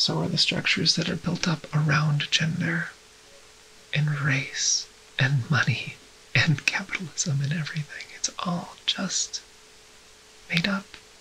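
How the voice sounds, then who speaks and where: Whispering and soft-spoken, a woman talks at a fairly slow pace with long, frequent pauses over noticeable background noise. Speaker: transgender woman ASMR creator. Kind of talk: ASMR rambling talk to camera. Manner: whispered, soft.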